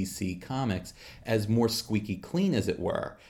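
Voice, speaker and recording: With lively intonation, a man talks at a moderate pace and medium pitch in a plain, everyday voice. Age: 40s. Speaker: comics podcast co-host. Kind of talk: casual chat.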